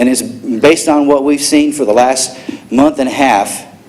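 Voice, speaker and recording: A man with a fairly high pitch and fairly even intonation talks amid noticeable background noise and audible room echo. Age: 60s. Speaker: public commenter at council meeting. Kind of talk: public comment. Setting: city council chamber. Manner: angry, confrontational.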